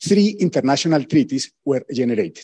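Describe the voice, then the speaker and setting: A man speaks in a dark, mellow tone. The sound is dry with no echo, and the background is quiet. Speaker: presenter. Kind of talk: lecture. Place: hall.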